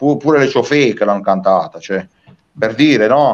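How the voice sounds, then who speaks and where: A man speaks with lively intonation. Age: 40s. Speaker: singer-songwriter. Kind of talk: interview. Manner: animated.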